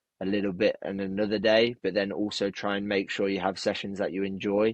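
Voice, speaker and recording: The speech is mumbled, with monotone, flat intonation. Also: man. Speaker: personal trainer. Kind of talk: casual interview chat. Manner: mumbling.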